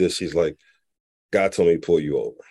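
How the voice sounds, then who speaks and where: A man speaks in a fairly low-pitched voice. The background is quiet. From Philadelphia, US. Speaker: nonprofit founder, former corporate executive. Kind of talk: interview. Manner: laughs often.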